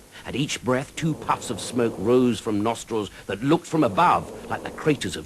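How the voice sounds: Here the speaker reads in a natural reading voice.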